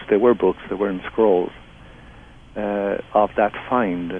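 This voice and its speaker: Against noticeable background noise, a man with an Irish accent speaks at a fairly low pitch with fairly even intonation. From southeast Ireland. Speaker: theologian and author. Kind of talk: interview.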